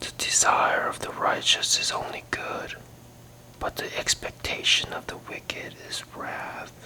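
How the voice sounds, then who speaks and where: Whispering in a gentle tone, fairly slow, over noticeable background noise. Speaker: ASMR Bible reader. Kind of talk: whispered ASMR Bible reading. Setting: relaxation or sleep audio. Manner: whispered, soft-spoken, gentle.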